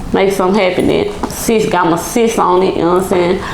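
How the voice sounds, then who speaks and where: Speaking with an American accent, a woman is heard with noticeable background noise and audible room echo. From Texas, Dallas Oak Cliff. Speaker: rapper. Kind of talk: casual interview.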